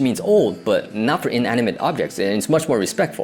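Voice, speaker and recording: The speaker has an American accent. Music plays in the background. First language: Cantonese. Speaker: video essayist. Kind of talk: personal storytelling monologue. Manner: casual, conversational.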